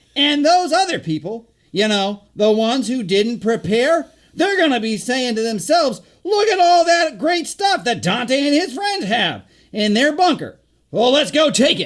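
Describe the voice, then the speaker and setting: A man's put-on character voice, extremely high-pitched and energetic in tone, at a moderate pace. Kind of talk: YouTube host patter. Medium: comedy sketch. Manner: energetic, rambling, stammering fillers.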